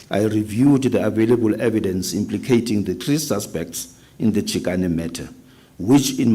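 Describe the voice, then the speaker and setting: A man's fairly low voice with vocal fry, lively intonation and a moderate pace. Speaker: witness at a public inquiry. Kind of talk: reading aloud. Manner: loud.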